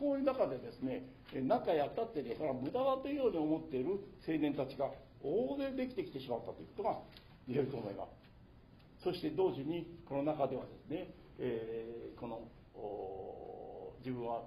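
The voice is somewhat breathy and dark and mellow in tone, with very wide pitch swings. It moves at a fairly quick pace but has long, frequent pauses. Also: man, fairly high pitch for a man. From Nagano, Japan. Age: 80s+. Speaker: author and labour educator. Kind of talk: public lecture.

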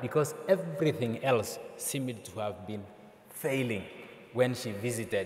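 Ordinary pitch variation marks a man's voice, heard with audible room echo. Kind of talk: conference talk. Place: hall. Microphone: podium.

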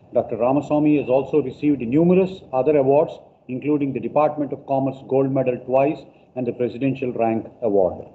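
A man's voice at a fairly quick pace with fairly even intonation. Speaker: host introducing a guest speaker. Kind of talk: formal introduction. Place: classroom.

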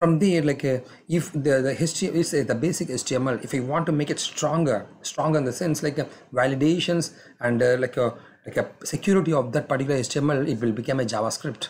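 At a fast pace and with few pauses, a man speaks at medium pitch in a slightly mellow tone, his pitch varying in an ordinary way.

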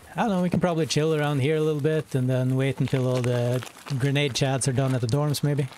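Over light background noise, a man speaks very fast, with very even loudness and fairly even intonation. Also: fairly high pitch for a man, dry sound with no echo. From northern Norway. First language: Norwegian. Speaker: gaming streamer. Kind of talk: casual chat. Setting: live stream. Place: home room.

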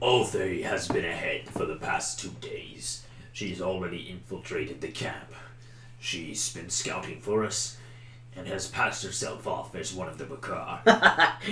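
A man performs in a put-on character voice at a moderate pace. Clear background noise can be heard. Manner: solemn, commanding.

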